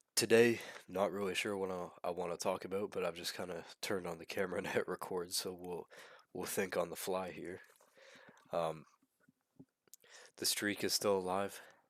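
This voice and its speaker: Moderate pace, monotone and flat intonation, with long, frequent pauses. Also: man, very deep, low pitch for a man. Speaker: vlogger and podcaster. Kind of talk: casual vlog monologue. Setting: talking to camera. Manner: halting, repeats words.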